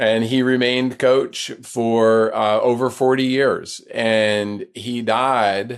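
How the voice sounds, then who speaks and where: A man with an American accent speaks at a very slow pace with hardly any pauses, in a monotone, flat intonation. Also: medium pitch for a man. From US South, North Carolina. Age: 60s. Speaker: ultrarunner and author. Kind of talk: interview conversation.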